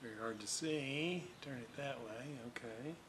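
A man speaks with ordinary pitch variation at a fairly slow pace, with noticeable background noise behind him. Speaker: radio restoration hobbyist. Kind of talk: tutorial. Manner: casual, hesitant with fillers. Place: workshop.

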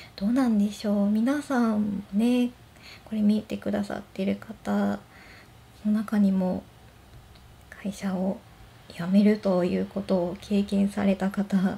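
A woman speaks fairly slowly with fairly even intonation in a dark, mellow, relaxed and gentle tone that is somewhat breathy, taking long, frequent pauses. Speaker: blind office worker. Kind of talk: casual talk to camera. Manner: relaxed, gentle. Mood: gentle, smiling, relaxed. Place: home room. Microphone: phone near.

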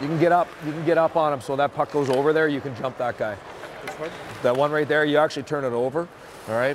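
Very fast speech with fairly even intonation, a dry sound with no echo, and noticeable background noise. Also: man. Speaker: hockey assistant coach. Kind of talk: coaching instruction. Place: stadium. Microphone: lapel.

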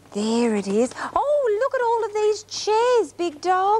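A woman is speaking. Her pitch swings very widely. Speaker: TV presenter. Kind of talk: warm presenting to small children. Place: studio.

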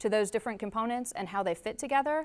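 Her voice, a woman's, shows ordinary pitch variation. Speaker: presenter. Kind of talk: public meeting presentation. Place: hall.

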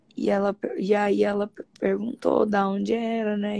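The background is quiet. A woman speaks fairly slowly. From Brazil. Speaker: study group member and live host. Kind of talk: casual chat. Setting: live stream video call. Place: home room. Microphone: phone near.

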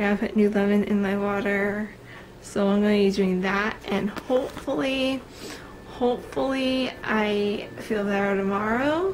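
With noticeable background noise behind her, a woman speaks fairly slowly at a medium pitch, with ordinary pitch variation and very even loudness. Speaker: vlogger. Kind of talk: casual vlog. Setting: filming at home. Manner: hesitant, many fillers.

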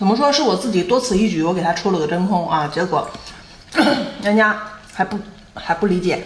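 A woman speaks in an animated, playful tone with long, frequent pauses. Audible room echo and light background noise are present. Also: fairly quick pace. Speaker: street seller / online seafood vendor. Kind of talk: sales pitch, live-stream style product promotion. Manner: chatty and animated, with a playful, laughing tone. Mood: slightly annoyed, explaining. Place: home room. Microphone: phone near.

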